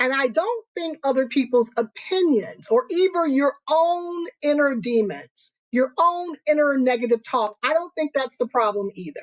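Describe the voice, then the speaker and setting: A woman talks in a high voice with lively intonation. She leaves hardly any pauses. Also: fairly slow pace. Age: 50s. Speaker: motivational YouTuber and author. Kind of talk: casual motivational talk to camera.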